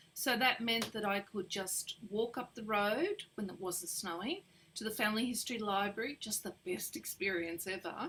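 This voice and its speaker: A woman with an Australian accent has a fairly high pitch, a bright, sharp tone and ordinary pitch variation. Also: moderate pace. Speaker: genealogist. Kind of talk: interview.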